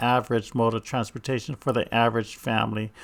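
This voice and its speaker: Heard on a very clean recording over a silent background, a man speaks at medium pitch with a Hawaiian accent. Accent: Hawaiian American English. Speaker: YouTuber giving a village tour. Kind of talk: narrated video tour. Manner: casual, with hesitations.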